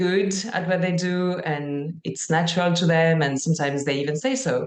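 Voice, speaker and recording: The speaker has a French accent and a fairly slow pace. Pitch variation is ordinary. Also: woman. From France. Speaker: life and career coach for musicians. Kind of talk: live coaching session.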